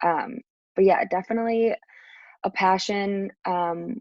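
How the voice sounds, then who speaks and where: A woman speaks in an unremarkable speaking voice. Her pitch is medium, with ordinary pitch variation. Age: 20s. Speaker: podcast guest, marketing manager. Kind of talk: interview. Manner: frequent filler words (um).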